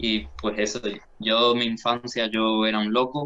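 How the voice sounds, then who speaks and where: A man speaks with a strong Andalusian accent. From Andalusia, Spain (Jerez de la Frontera). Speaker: philosophy student and podcaster. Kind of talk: casual interview.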